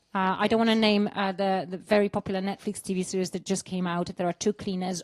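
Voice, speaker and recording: With a slight Polish accent, a woman talks at a fairly quick pace in a medium pitch against a quiet background. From Poland. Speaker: actor. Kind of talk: interview. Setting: studio. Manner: animated; halting.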